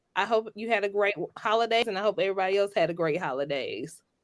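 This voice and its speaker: A woman speaks with a Georgia accent. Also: very clean recording, silent background. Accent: Southern (Georgia). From US South, Georgia. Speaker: lawyer. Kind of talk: podcast interview.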